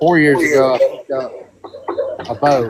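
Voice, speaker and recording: Here a man speaks with a Southern US accent. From Alabama. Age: 30s. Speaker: hunter. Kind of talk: casual chat.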